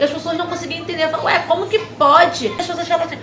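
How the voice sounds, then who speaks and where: Amid audible room echo and noticeable background noise, a woman with an extremely high pitch speaks in an energetic tone. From Brazil, Nova Iguaçu, Rio de Janeiro. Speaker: preacher, channel host. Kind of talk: personal testimony. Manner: fast; agitated, energetic.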